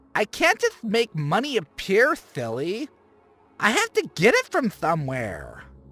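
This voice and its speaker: Speaking at a fairly slow pace, a man puts on a character voice pitched high. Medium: read story. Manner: campy, playful, teasing.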